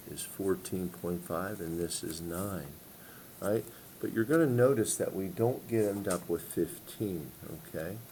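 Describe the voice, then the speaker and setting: In a very deep, low voice with a dark, mellow tone, a man talks at a fairly slow pace with ordinary pitch variation. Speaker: math teacher. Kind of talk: tutorial.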